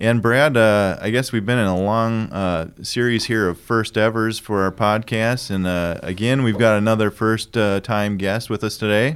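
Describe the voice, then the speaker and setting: A man's unremarkable speaking voice, fairly low in pitch, with hardly any pauses. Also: moderate pace. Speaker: podcast host. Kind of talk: casual interview chat.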